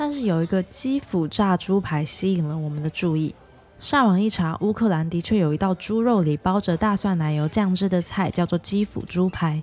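A woman with a plain, everyday voice speaks at medium pitch and a moderate pace, with ordinary pitch variation. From Taiwan. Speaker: podcast host. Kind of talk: scripted narration.

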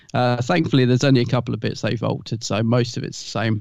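A man talks at a very fast pace with a British accent. His pitch is medium and his intonation fairly even. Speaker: podcast co-host. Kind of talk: casual chat.

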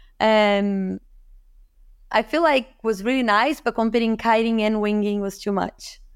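On a very clean recording with a silent background, a woman with a Portuguese accent speaks fairly slowly in a fairly high voice with fairly even intonation. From Brazil, Rio de Janeiro. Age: 30s. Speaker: professional kiteboarder. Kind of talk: casual interview.

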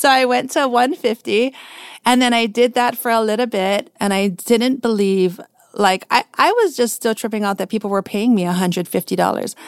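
This woman has a plain, everyday voice, fairly high in pitch, with ordinary pitch variation and a moderate pace, recorded with a dry, close sound and no echo. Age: 40s. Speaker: portrait photographer. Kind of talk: interview.

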